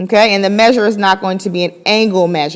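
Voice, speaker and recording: Fairly even intonation marks this unremarkable speaking voice. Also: woman. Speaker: high school math teacher. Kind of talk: lecture.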